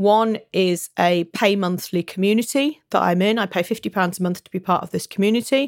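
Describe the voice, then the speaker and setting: A woman with a British accent at medium pitch, talking at a fairly quick pace with hardly any pauses, ordinary pitch variation and big swings in loudness, on a very clean recording with a silent background. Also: dry, close sound with no echo. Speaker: business coach. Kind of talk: solo podcast monologue. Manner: animated.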